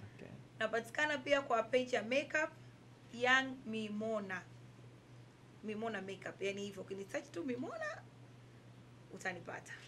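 A woman talks at a moderate pace with ordinary pitch variation, taking long, frequent pauses. Her loudness swings widely, and light background noise is present. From Tanzania. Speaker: tailor and fashion entrepreneur; interviewee. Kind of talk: interview. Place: home room.

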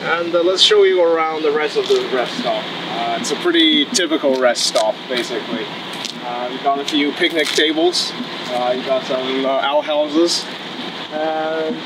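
Noticeable background noise runs under a man's voice as he speaks at a moderate pace, his pitch varying in an ordinary way. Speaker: EV road trip vlogger. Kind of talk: casual vlog chat. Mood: relaxed, cheerful. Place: open country. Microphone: camera far.

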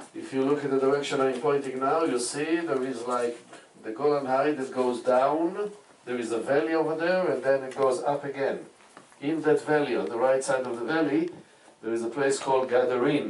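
A man at a moderate pace, fairly even in intonation, with audible room echo and light background noise. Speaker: tour guide. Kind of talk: guided tour commentary. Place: boat.

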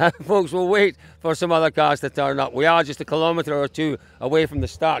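Recorded with a dry sound and no echo, a man speaks in a high-pitched voice. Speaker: presenter. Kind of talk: commentary. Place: street. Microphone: handheld.

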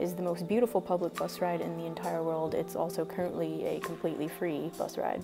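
Clear music plays in the background as a woman talks at a fairly quick pace with hardly any pauses. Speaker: travel vlogger. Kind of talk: casual travel commentary. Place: bus. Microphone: phone near.

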